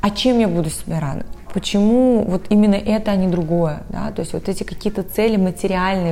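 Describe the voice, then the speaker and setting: Audible room echo surrounds a woman speaking at a medium pitch and a fairly quick pace. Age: 30s. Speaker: advertising agency business director. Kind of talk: interview.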